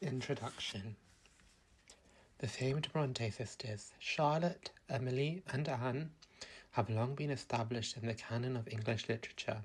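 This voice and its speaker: A soft-spoken man talks at a moderate pace in a gentle tone. His voice is somewhat breathy, with ordinary pitch variation. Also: medium pitch for a man. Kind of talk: soothing sleep-time book reading. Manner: soft-spoken, gentle, calming.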